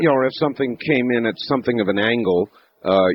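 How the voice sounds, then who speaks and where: At a very fast pace, a man talks with lively intonation. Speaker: radio talk show host. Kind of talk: radio interview questions. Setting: studio.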